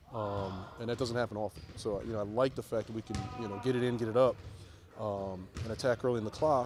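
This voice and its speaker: Mumbling at a very fast pace with fairly even intonation, a man with a medium pitch speaks over noticeable background noise. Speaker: NBA head coach. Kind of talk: press conference. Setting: media availability after practice. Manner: halting, many fillers.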